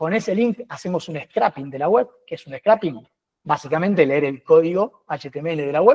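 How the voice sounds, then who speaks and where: In a dry, close recording with no echo, a man with a fairly high voice talks with lively intonation and big swings in loudness. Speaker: data and automation expert. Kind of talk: webinar tech demo. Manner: fast.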